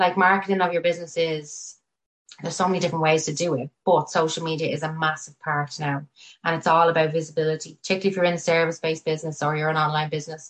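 In a Dublin accent, a woman with a very deep, low pitch talks very fast in a monotone with flat intonation. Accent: Irish (Dublin). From Ireland, Tallaght (Dublin). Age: 30s. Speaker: chartered accountant and business owner. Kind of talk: casual interview.

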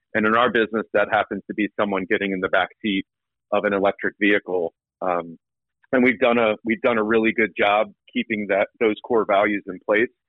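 In an American accent, a normal speaking voice moves at a fairly quick pace with fairly even intonation. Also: man, fairly low pitch for a man. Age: 30s. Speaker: entrepreneur and former college baseball player. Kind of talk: casual interview.

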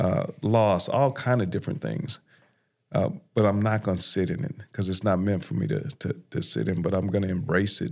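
An American man with vocal fry and lively intonation, at a moderate pace, on a very clean recording with a silent background. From South Los Angeles. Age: 50s. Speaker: criminal justice reform advocate, former prisoner. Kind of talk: testimony.

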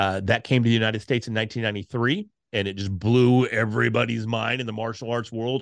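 A man's animated, very fast speech at a medium pitch with ordinary pitch variation, on a very clean recording with a silent background. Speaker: podcasting speaker and course creator. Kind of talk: casual interview chat. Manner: loud, animated.

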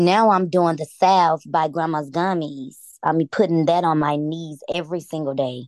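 With an American accent, a woman speaks in an ordinary speaking voice at a fairly low pitch and moderate pace, her intonation fairly even against a quiet background. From US South, Atlanta. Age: 30s. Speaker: cannabis user sharing her story. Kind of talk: interview testimony.

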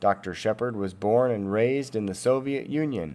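On a very clean recording with a silent background, a man speaks at a moderate pace in an unremarkable speaking voice, medium pitched, with ordinary pitch variation. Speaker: podcast host. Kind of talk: scripted narration.

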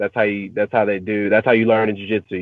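This man speaks with an East Texas accent. His pitch is fairly low. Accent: East Texas Southern US. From US South, East Texas (Marshall). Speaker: professional MMA fighter. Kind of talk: interview. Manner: halting, many fillers.

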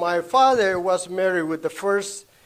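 At a moderate pace, a man talks with a high voice. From Honduras. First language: Spanish. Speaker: traveling minister. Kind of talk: testimony. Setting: church meeting with audience. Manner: halting.

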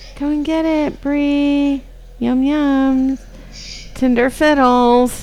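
A woman's high-pitched voice at a very slow pace, with noticeable background noise. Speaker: podcast host. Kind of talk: casual chat. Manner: animated, laughs often.

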